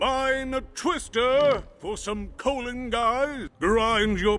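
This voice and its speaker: A man's put-on character voice at an extremely high pitch and a very slow pace, over faint music in the background. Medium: video game. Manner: pompous, wordplay-prone.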